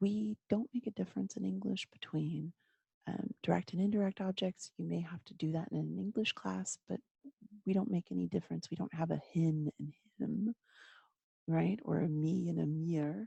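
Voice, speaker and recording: Someone whispers with a Texan accent in a dry, close sound with no echo. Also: woman, moderate pace. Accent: Texan American English. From Texas. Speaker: German teacher. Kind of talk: lecture. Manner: whispering. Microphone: microphone very close to mouth.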